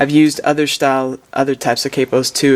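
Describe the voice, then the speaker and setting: Against noticeable background noise, a man speaks at a moderate pace in a relaxed tone, with a fairly high pitch and monotone, flat intonation. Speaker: music professor. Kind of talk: lesson. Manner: relaxed, with frequent fillers.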